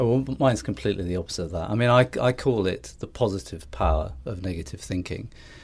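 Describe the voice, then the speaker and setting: With vocal fry and a fairly low pitch, a man talks at a very fast pace through very wide pitch swings, in a very clean recording with a silent background. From northeast England. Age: 50s. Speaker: ad agency founder. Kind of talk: casual interview. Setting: studio. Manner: hesitant, repeats words.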